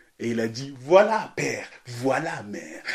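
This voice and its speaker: A man speaks at a very slow pace with noticeable background noise behind him. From Ghana. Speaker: storyteller. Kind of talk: storytelling performance. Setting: remote recording during lockdown. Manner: animated. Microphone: occasional technical problems.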